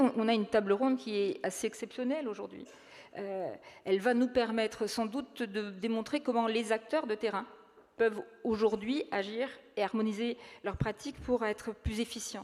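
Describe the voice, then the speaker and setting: Her pitch is fairly high for a woman, with ordinary variation. She speaks at a moderate pace. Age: 60s. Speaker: local elected official. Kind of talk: panel discussion. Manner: halting.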